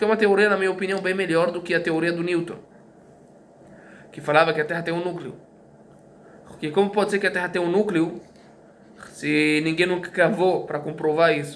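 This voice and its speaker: Amid audible room echo, a man with a high pitch talks at a fairly quick pace in a monotone, flat intonation, with long, frequent pauses. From Brazil. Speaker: teacher. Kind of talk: lecture. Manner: halting, many fillers and repetitions.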